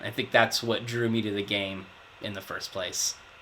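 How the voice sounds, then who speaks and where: A man talks at a medium pitch. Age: 30s. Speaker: project manager, tabletop gamer interviewee. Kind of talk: interview answers.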